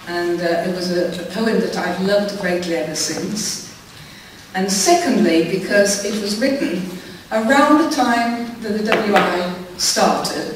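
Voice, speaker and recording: A woman speaks at a fairly slow pace with ordinary pitch variation. Strong room echo and noticeable background noise fill the recording. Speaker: amateur poetry reciter. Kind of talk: spoken introduction to an audience. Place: stage.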